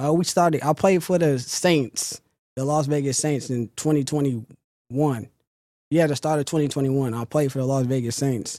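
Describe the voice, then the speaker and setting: Heard on a very clean recording with a silent background, a man with an unremarkable speaking voice and a fairly high pitch talks at a moderate pace with fairly even intonation. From Sacramento, Northern California. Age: 20s. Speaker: football player. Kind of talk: interview.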